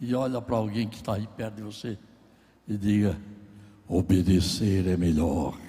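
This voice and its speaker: Somewhat breathy and fairly low, a man's dark, mellow voice moves at a moderate pace with long, frequent pauses and ordinary pitch variation, and room echo is audible. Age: 80s+. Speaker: pastor. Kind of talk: sermon. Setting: church.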